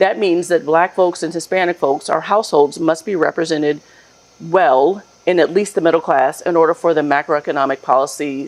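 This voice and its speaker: In a normal speaking voice, a woman talks fairly quickly at a fairly low pitch with ordinary pitch variation. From Hampton, Virginia. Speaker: CEO of a racial equity advisory firm. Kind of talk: interview. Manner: articulate, formal.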